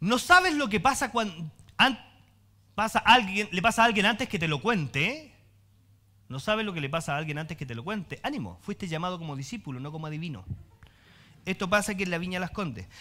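A man with a high pitch talks at a fairly quick pace in a bright, sharp, animated tone, with long, frequent pauses. His pitch swings very widely, and his loudness rises and falls sharply. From Chile. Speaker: pastor. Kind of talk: sermon, preacher warmly teaching the congregation with jokes, then closing in prayer. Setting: church with congregation. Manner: animated, humorous and conversational, colloquial asides, lively preacher's cadence. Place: church.

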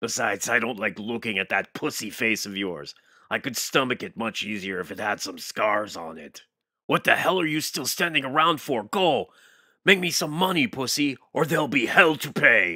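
A man's put-on character voice at a moderate pace, on a very clean recording with a silent background. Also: medium pitch for a man. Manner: menacing, contemptuous.

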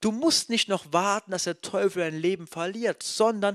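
Against a quiet background, a man speaks at a moderate pace in an animated tone. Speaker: preacher. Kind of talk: sermon. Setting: church. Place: church. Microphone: handheld.

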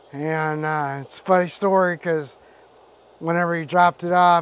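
Man speaking at a fairly slow pace with fairly even intonation, dry sound with no echo. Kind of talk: casual vlog chat. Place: open country. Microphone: lapel.

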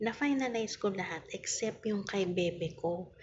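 A woman talks at a moderate pace with ordinary pitch variation. Her voice is somewhat breathy, over light background noise. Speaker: online seller hosting live raffle. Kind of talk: casual live-stream chat. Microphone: phone near.

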